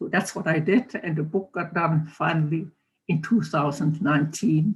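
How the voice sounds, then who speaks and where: Pitch variation stays ordinary in this somewhat breathy voice. The pace is fairly slow. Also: woman. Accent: American. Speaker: Holocaust survivor and author. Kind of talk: testimony. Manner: halting.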